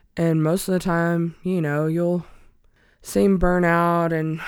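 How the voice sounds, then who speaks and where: With an Alabama accent, a woman speaks at a very deep, low pitch and a fairly slow pace in monotone, flat intonation, on a very clean recording with a silent background. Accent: Southern US (Alabama). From US South, small-town Alabama. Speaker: podcast guest, spouse of person in recovery. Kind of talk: casual interview chat.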